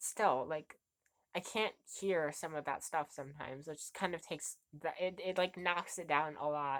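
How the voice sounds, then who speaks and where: The recording is very clean with a silent background, and the speech moves at a moderate pace with ordinary pitch variation. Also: woman. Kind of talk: casual music review talk to camera. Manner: hesitant, stuttering.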